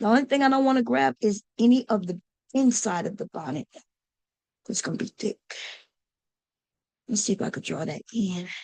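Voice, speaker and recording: This is a raspy, put-on character voice with lively intonation. It moves at a moderate pace, with a dry, close sound and no echo. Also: woman, fairly high pitch for a woman. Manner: speaking low.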